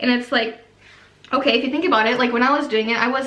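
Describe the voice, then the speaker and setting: Raised and projected, a woman's animated voice carries ordinary pitch variation through audible room echo and noticeable background noise. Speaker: YouTuber, former MLM coach. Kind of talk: casual vlog monologue. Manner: fast.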